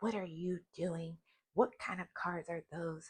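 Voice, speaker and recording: In an animated tone, a woman speaks at a fairly slow pace and medium pitch, sounding somewhat breathy. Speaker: tarot reader. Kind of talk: casual chat.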